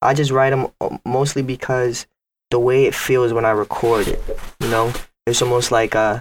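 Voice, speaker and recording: With a New York accent, the speaker delivers a flat monotone at very even loudness, with long, frequent pauses in a very clean recording with a silent background. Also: man, medium pitch for a man, moderate pace. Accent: New York City English. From Bronx, New York. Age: 20s. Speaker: rapper. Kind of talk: casual chat.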